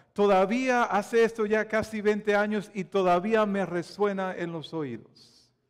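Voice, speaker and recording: Over a quiet background, a man with a Dominican accent speaks at a high pitch and a fairly slow pace with fairly even intonation. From Dominican Republic. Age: 40s. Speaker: pastor. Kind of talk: sermon. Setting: church. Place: church. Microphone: lapel.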